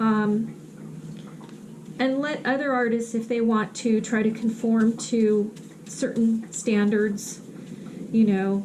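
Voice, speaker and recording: In a monotone, flat intonation, the speaker talks at a very slow pace, with audible room echo and noticeable background noise. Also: woman. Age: 60s. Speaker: artist and vlogger. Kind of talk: casual vlog talk while painting. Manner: hesitant, many fillers.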